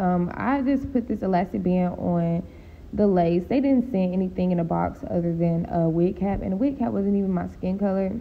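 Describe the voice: A woman speaks at a fairly low pitch with ordinary pitch variation. Vocal fry runs through her voice. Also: moderate pace.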